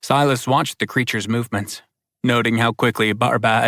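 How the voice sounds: A natural reading voice with fairly even intonation sits over a quiet background.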